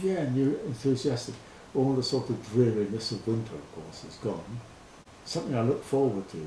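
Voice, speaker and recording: A man speaks at a moderate pace and a medium pitch, with big swings in loudness. Noticeable background noise runs underneath. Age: 70s. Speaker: farm volunteer. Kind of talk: interview answer.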